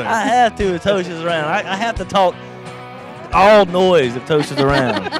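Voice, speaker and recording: Clear music plays in the background. A man with a high pitch and lively intonation speaks with an American accent. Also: moderate pace, dry sound with no echo. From Southern US (Georgia). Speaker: country singer-songwriter. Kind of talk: interview answer. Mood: relaxed, joking. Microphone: handheld.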